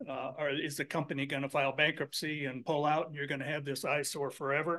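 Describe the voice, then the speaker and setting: Against a quiet background, a man rattles off words at a very fast pace in a bright, sharp tone with a fairly high pitch and monotone, flat intonation. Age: 70s. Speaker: local resident speaking at public comment. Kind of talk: public comment at county meeting. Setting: county commission meeting room. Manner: halting.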